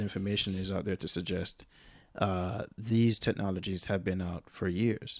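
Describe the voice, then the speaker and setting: On a very clean recording with a silent background, the words come at a moderate pace. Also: man. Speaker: podcast guest. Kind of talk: casual chat. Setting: hotel room. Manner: halting.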